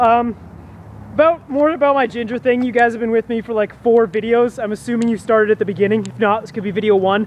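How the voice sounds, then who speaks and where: Loud and at a fairly quick pace, a man speaks with an extremely high pitch over noticeable background noise. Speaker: vlogger. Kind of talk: casual chat. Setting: outdoors.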